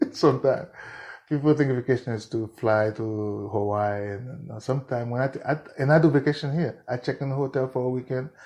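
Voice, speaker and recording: A man's medium-pitched voice, dark, mellow tone and fairly quick pace. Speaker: musician. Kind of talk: interview answer.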